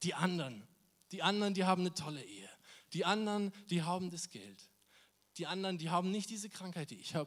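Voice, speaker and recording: An animated man talks very fast in a high voice with ordinary pitch variation, big swings in loudness, and long, frequent pauses. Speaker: volunteer youth preacher. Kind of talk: sermon.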